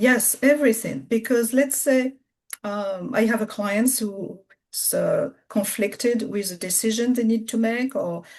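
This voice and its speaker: A woman speaks with a French accent. Her pace is fairly slow, and her pitch variation is ordinary. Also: fairly high pitch for a woman. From France. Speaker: spiritual business coach. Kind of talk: interview conversation. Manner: halting.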